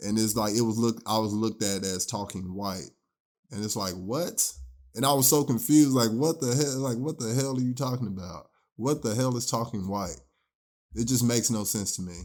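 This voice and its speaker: Mumbling at a moderate pace, a man with a slight country accent and a medium pitch uses ordinary pitch variation in a very clean recording with a silent background. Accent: slight country twang. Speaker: podcast co-host. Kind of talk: casual chat. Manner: mumbles some.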